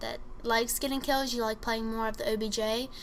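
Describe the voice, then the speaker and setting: Noticeable background noise sits under a woman's fairly high voice, which varies in pitch in an ordinary way. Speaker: gaming commentator. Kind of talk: gameplay tutorial commentary. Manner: fast.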